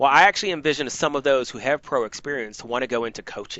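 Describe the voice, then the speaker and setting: A man talking at a fairly quick pace. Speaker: university esports program leader running a meeting. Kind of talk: meeting presentation. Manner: fast.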